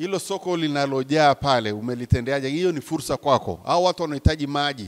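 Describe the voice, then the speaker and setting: Fairly high in pitch with ordinary pitch variation, a man talks fairly quickly over a quiet background. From Tanzania. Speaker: professor, business lecturer. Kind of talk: talk to an audience of entrepreneurs. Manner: animated. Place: hall. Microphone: handheld.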